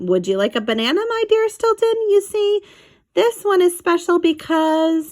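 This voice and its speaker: Squeaky and pitched extremely high, this is a put-on character voice. The delivery keeps a moderate pace. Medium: read story. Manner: persistent, chummy.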